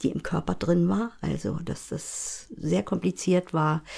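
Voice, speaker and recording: A woman speaks with a very deep, low pitch and audible vocal fry. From Rügen, northeastern Germany. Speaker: podcast co-host, screenwriter. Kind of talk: casual conversation.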